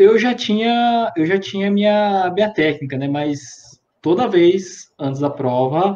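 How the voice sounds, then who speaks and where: Here a man talks at a very slow pace with a dark, mellow tone. His intonation is lively. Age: 30s. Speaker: civil engineer, exam candidate. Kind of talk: interview. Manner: hesitant, many fillers.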